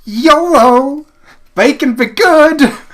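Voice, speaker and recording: In a put-on character voice with a high pitch, the speaker performs a Southern accent as part of the act. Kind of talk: slangy, playful.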